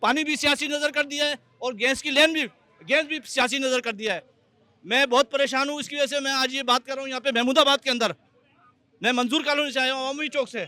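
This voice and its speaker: A man's raised, projected voice at an extremely high pitch, moderate pace and fairly even intonation. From Pakistan, Karachi. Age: 60s. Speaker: local resident. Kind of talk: public complaint.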